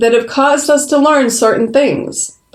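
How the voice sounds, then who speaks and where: An ordinary speaking voice with an American accent, at a fairly slow pace. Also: woman. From US East Coast. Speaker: podcast host and professional coach. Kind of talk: podcast conversation. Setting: call.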